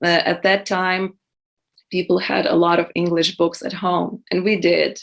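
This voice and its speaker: A woman with vocal fry speaks at a fairly slow pace, her fairly low voice flat and monotone. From western Ukraine. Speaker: poet and translator. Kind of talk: interview. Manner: hesitant, many fillers.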